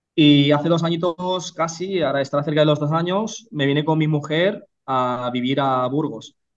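A man speaks in an ordinary speaking voice, pitched fairly high, at a moderate pace. His pitch varies in the usual way, and he hardly pauses at all. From Catalonia, Spain (Reus, Tarragona). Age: 30s. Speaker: real estate investor and entrepreneur. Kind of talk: interview.

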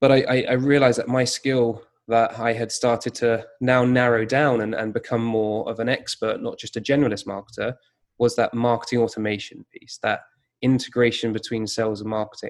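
In a British accent, a man talks at a fairly quick pace with a medium pitch and monotone, flat intonation. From UK. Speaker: digital marketing consultant. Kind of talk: interview conversation.

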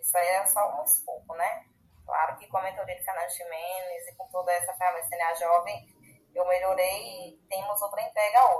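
A woman at a medium pitch, with ordinary pitch variation, a moderate pace and big swings in loudness; a plain, everyday voice. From Bahia, Brazil. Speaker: agronomist and young agribusiness leader. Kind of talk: casual interview.

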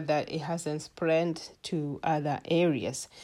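A woman's fairly low, dark and mellow voice on a very clean recording with a silent background. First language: not English. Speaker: health educator podcaster. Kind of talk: solo health talk. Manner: hesitant with many fillers.

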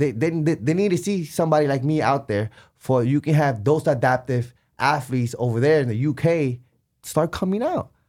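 A very clean recording with a silent background captures a man in an ordinary speaking voice, fairly high in pitch with ordinary pitch variation, at a moderate pace. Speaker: adaptive amputee athlete. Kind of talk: casual chat. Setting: studio.

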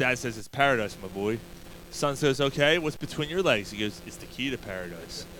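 At a fairly quick pace, a plain, everyday voice moves with lively intonation. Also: man, medium pitch for a man, big swings in loudness. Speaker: podcast host. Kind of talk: casual sports chat.

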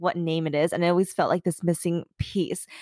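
Recorded very cleanly against a silent background, a woman talks at a fairly quick pace with a dry, close sound and no echo. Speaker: podcast host. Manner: fast talker.

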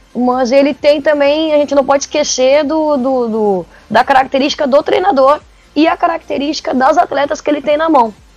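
Through noticeable background noise, the voice keeps a moderate pace, its pitch shifting in an ordinary way. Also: woman, high pitch for a woman. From Porto Alegre, southern Brazil. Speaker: football coach. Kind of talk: podcast interview. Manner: halting, frequent repetitions.

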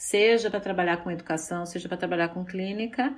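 A woman speaks at a fairly low pitch in an ordinary speaking voice. Her pitch varies in an ordinary way. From Brazil, São Paulo. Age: 50s. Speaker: psychologist and sex therapist. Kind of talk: interview.

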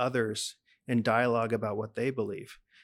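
A man with a Texan accent at a moderate pace, on a very clean recording with a silent background. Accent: Texan American English. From Texas, Dallas. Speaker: pastor and lecturer. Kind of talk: interview.

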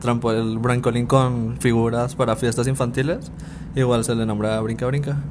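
Amid noticeable background noise and audible room echo, a man with a medium pitch talks at a moderate pace with fairly even intonation. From Mexico, Ciudad Juárez. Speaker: podcast guest. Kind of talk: casual chat.

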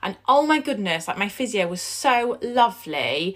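A woman talks at a moderate pace in a medium-pitched, croaky voice with a fairly bright tone. Her pitch swings widely up and down.

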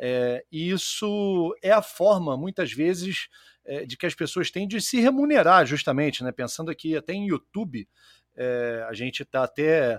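Speaking at a moderate pace with lively intonation, a man has a plain, everyday voice, fairly high in pitch, in a dry, close recording with no echo. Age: 40s. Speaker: podcast host. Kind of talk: casual chat. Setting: live stream.

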